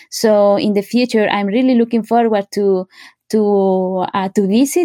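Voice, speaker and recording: The voice has a dark, mellow tone. The sound is dry and close with no echo, on a very clean recording with a silent background. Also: woman. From Oaxaca, Mexico. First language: Zapotec and Spanish. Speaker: linguist and professor. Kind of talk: interview. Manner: halting.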